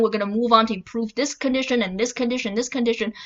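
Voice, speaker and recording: A loud woman's voice, fairly high in pitch. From China. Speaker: political commentary YouTuber. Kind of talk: casual vlog commentary. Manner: halting with many fillers.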